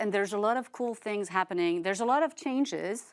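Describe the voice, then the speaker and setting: A woman talks in a fairly high pitch with a French accent. The recording is very clean, with a silent background. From France. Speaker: podcast host, streaming media analyst. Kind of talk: casual chat.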